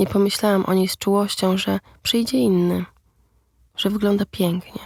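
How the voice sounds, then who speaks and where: Somewhat breathy and monotone, a woman's voice sounds dry and close with no echo. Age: 30s. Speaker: podcast narrator, writer. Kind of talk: scripted narration.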